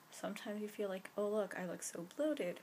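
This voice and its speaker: A woman mumbles at a fairly quick pace. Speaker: vlogger. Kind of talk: casual vlog to camera. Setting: bedroom at night. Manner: fast; mumbling.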